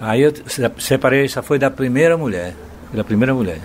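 Against noticeable background noise, a man of medium pitch speaks at a fairly quick pace. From Bahia, Brazil. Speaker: singer-songwriter. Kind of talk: interview, storytelling.

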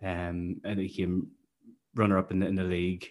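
A man's fairly low voice in a Northern Irish accent, at a fairly quick pace over a quiet background. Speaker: podcast host, football fan. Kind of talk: casual chat about football.

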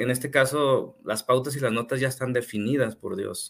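This is a plain, everyday voice. A man talks at a medium pitch with ordinary pitch variation. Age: 30s. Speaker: part-time pastor and civil engineer. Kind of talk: casual chat. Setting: live stream.

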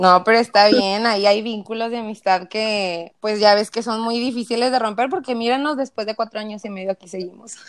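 A woman speaks with a Mexican accent at a fairly quick pace. Her pitch is fairly high, and her intonation is fairly even. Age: 20s. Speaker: nutrition student. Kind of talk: interview.

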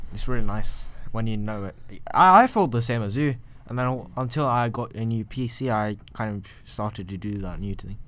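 A man's ordinary speaking voice at a medium pitch, with a moderate pace and ordinary pitch variation. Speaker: podcast host. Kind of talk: casual chat. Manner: joking.

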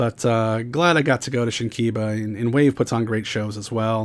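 Speech unfolds at a moderate rate. It is a normal speaking voice. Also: man. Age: 40s. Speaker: podcast host. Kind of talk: solo podcast monologue. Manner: frequent fillers and repetitions.

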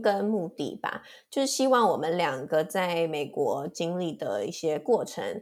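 In a very clean recording with a silent background, a woman with an unremarkable speaking voice talks at a medium pitch and a fairly slow pace, with lively intonation and hardly any pauses. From Taiwan. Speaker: podcast co-host, master's student. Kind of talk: casual chat.

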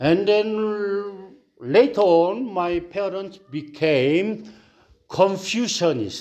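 A man with a high voice and a Korean accent speaks at a very slow pace with long, frequent pauses. His intonation is lively. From South Korea. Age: 60s. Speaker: pastor. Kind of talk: sermon. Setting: church. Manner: halting.

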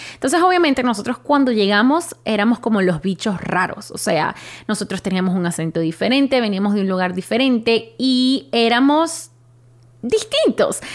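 A woman speaks at a moderate pace. Her fairly high pitch goes through very wide swings. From Venezuela (Caracas, then Maracaibo from age 11). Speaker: journalist and podcast host. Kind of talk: personal monologue, storytelling.

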